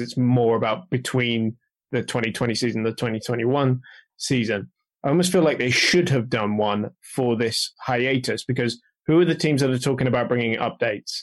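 This is a plain, everyday voice at a fairly quick pace. Its pitch variation is ordinary, and the background is quiet. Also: man. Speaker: motorsport industry professional. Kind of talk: casual chat.

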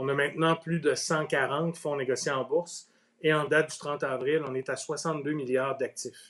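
Fairly slow and monotone, with flat intonation, a man speaks at a fairly high pitch. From Quebec, Outaouais. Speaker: ETF industry executive. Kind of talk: interview. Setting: Facebook Live video stream.

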